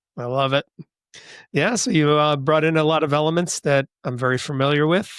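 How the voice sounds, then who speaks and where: Speaking at a moderate pace with a Western New York accent, a man is heard on a very clean recording with a silent background and a dry, close sound with no echo. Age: 60s. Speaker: podcast host. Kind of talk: interview conversation.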